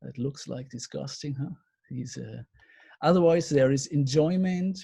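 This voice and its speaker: With a German accent, a man speaks at a fairly slow pace in a fairly high pitch, his dark, mellow tone somewhat breathy, with ordinary pitch variation and big swings in loudness. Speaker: counselling lecturer. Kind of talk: webinar lecture. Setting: video call. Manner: halting.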